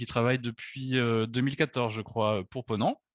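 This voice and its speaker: A man in a Bordeaux accent, fairly even in intonation, with a dry, close sound, no echo and a quiet background. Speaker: travel agency director. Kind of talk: webinar presentation. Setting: video conference. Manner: hesitant, many fillers.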